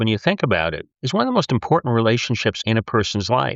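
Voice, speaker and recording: The speaker talks at a very fast pace with very wide pitch swings. Vocal fry is audible. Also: man. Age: 70s. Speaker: grief scholar. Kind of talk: interview. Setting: podcast.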